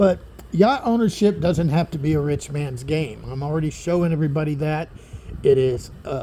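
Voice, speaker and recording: A man speaks in a plain, everyday voice, fairly high in pitch, at a moderate pace with ordinary pitch variation. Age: 60s. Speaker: boat owner vlogger. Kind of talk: casual video tour. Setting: outdoors on a yacht. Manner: casual with fillers.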